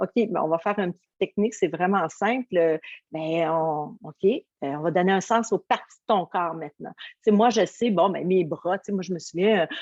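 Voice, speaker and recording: A woman with a Quebec accent speaks in an energetic, warm tone, with a dry, close sound that has no echo. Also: medium pitch for a woman, ordinary pitch variation, moderate pace. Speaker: motivational coach. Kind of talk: interview answer.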